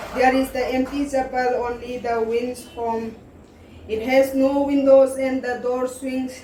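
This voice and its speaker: Over noticeable background noise, a woman speaks fairly slowly in a high voice with monotone, flat intonation. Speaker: poetry recitation competitor. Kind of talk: poetry reading.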